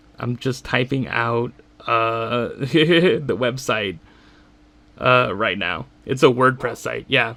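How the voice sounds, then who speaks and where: A man at medium pitch speaks at a very slow pace with vocal fry, a bright, sharp tone and ordinary pitch variation. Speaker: YouTuber. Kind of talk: casual solo commentary. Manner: halting, many fillers.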